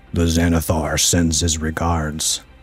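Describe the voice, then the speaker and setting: Over faint background music, a man puts on a character voice with a very deep, low pitch, speaking at a fairly slow pace in a monotone, flat delivery. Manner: threatening.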